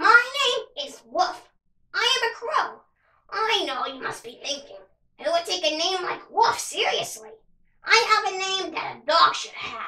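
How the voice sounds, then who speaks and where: In a put-on character voice, a woman squeaks at an extremely high pitch, raised and projected, with very wide pitch swings at a moderate pace. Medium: read story.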